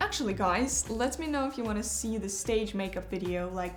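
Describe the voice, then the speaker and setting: With a Russian accent, a woman speaks at a medium pitch with ordinary pitch variation, music in the background and audible room echo. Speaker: ballet dancer. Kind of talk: tutorial. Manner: casual, with frequent hesitations.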